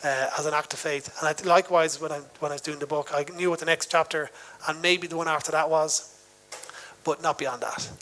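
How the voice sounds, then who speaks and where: With music in the background, a man with a Dublin accent speaks at a fairly quick pace, his fairly high pitch kept in a monotone, flat intonation. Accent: Dublin Irish. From Ireland, Dublin suburb. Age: 40s. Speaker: novelist and musician. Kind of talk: onstage literary interview. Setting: festival stage with audience. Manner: hesitant, many fillers.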